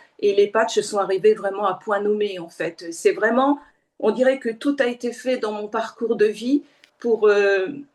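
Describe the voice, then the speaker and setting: A woman speaks at a fairly high pitch and a fairly slow pace, with ordinary pitch variation. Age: 60s. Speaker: aromatherapist. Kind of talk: presentation. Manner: hesitant, many fillers.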